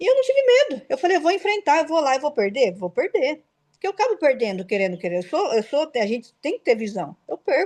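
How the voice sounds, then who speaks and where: A woman talks very fast in a high pitch with very wide pitch swings and hardly any pauses. The sound is dry and close, with no echo. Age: 40s. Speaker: logistics entrepreneur. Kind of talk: interview chat. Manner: animated.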